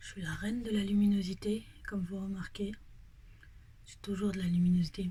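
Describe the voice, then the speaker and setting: At a moderate pace, a woman speaks in a medium-pitched, monotone, flat voice with a dark, mellow tone that is somewhat breathy. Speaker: vlogger. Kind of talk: casual vlog update.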